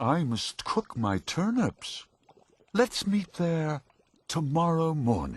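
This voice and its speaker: Using a put-on character voice, a man speaks fairly high at a very slow pace. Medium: read story. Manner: polite, cheerful.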